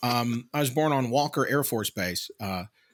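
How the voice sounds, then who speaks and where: A man speaks at a medium pitch with a slight Southern US accent. The recording is very clean, with a silent background. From Mississippi, Tupelo. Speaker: podcast co-host. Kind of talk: casual chat.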